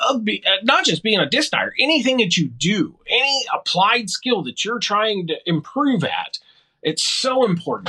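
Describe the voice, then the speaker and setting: Raised and projected, a man's voice has a bright, sharp tone, an extremely high pitch, and lively intonation. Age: 40s. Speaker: disc dyer and disc golfer. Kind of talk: casual interview chat.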